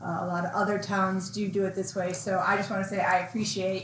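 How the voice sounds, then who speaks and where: At a fairly quick pace, a woman with a medium pitch talks in fairly even intonation, with audible room echo. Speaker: town board member. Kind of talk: public meeting remarks. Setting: town board meeting room.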